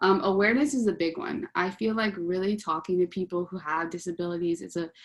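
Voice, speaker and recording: A woman with a fairly low pitch talks at a fairly quick pace in a very clean recording with a silent background. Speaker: UX designer giving a workshop talk. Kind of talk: presentation. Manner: fast; hesitant, many ums.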